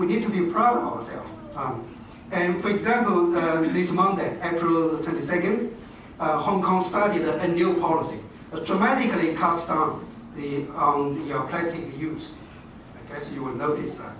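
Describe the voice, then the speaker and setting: A man speaks at a high pitch amid noticeable background noise. Audible room echo is present. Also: ordinary pitch variation, moderate pace. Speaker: university dean, education professor. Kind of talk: formal speech. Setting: stage at a podium with audience. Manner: halting, many fillers.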